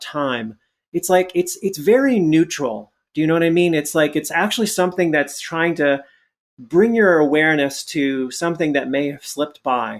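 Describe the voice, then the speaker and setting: A man speaks in a plain, everyday voice at a fairly high pitch. His pitch variation is ordinary. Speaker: Zen monk, coach and author. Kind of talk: podcast interview answer, explanatory conversational talk. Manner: thoughtful, conversational with filler words.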